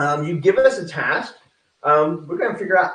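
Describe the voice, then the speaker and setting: A man with an American accent talks at a very fast pace, his fairly high voice full of lively intonation. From Texas. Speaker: real estate coach. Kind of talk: online presentation. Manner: casual, filler-heavy.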